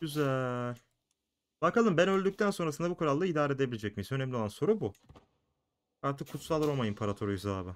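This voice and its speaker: Here a man talks very fast at a fairly high pitch, with very wide pitch swings. Long, frequent pauses break up his speech. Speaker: gaming youtuber. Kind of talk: let's play commentary. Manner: casual, thinking aloud.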